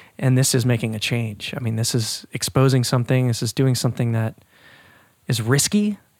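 Speaking at a fairly quick pace, a man uses an ordinary speaking voice with ordinary pitch variation. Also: medium pitch for a man. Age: 30s. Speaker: podcast co-host. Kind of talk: casual chat.

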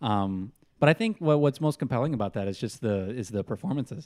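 A man talks in a plain, everyday voice at a medium pitch. His pace is fairly quick and his intonation lively. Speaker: podcast host. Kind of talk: casual chat. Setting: studio.

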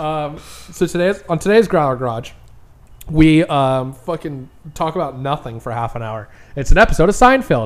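Big swings in loudness run through a man's unremarkable speaking voice, fairly high in pitch, with lively intonation at a moderate pace. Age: 30s. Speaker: podcast host. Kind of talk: casual chat.

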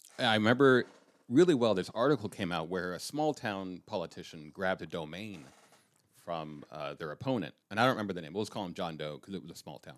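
A man with a General American accent speaks at a fairly quick pace, fairly low in pitch, in a normal speaking voice. His loudness swings a lot. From Colorado. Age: 50s. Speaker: political satirist. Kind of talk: casual chat.

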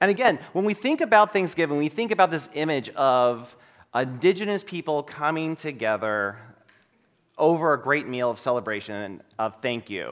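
Moderately paced male speech, fairly high in pitch, with very wide pitch swings. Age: 40s. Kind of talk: sermon.

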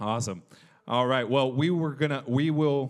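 A man talks at a fairly quick pace in a plain, everyday voice with fairly even intonation. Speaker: church pastor host. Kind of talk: casual interview. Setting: church with audience.

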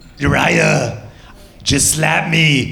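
A put-on character voice, raspy and in a German accent, comes through over clear background noise. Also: man, fairly high pitch for a man.

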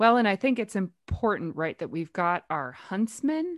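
A woman with lively intonation, on a very clean recording with a silent background and a dry, close sound, no echo. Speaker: podcast host. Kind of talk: casual group discussion of a play. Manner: animated.

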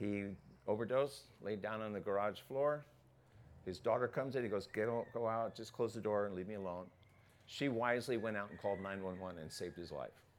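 Talking at a fairly quick pace, a man uses a plain, everyday voice with fairly low pitch and ordinary pitch variation. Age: 60s. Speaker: pastor. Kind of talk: sermon. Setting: church.

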